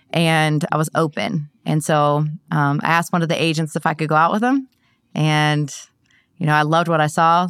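On a very clean recording with a silent background, a woman with an American accent speaks in a very deep, low pitch. Her pace is moderate, her loudness very even and her pitch variation ordinary. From Ohio. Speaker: insurance agency owner. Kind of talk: interview. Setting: studio.

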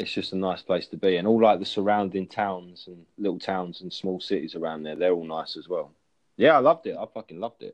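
A man's very deep, low voice in an English accent, fairly quick delivery, ordinary pitch variation, big swings in loudness and a quiet background. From England. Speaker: chat app user. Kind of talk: casual chat.

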